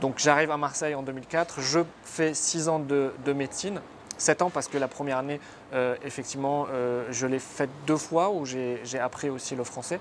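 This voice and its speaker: A man talks at a moderate pace in a fairly high pitch with fairly even intonation. Noticeable background noise is present. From northern Lebanon, near Tripoli. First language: Arabic (speaking French). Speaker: surgeon turned entrepreneur. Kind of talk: interview. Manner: hesitant, many fillers.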